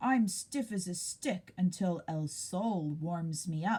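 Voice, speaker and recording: Using a put-on character voice, a woman speaks with a rumbling sound at medium pitch and a fairly slow pace. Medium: read story. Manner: grumbling.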